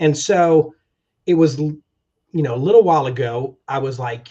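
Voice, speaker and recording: Dark, mellow and somewhat breathy tone at a moderate pace with ordinary pitch variation. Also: man. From military family, moved worldwide. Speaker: travel agency owner, army veteran. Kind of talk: interview.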